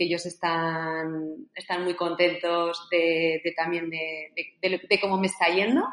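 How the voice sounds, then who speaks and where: Fairly low in pitch, a woman talks at a fairly slow pace in a plain, everyday voice. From Spain, Zaragoza. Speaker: author and coach. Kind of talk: interview.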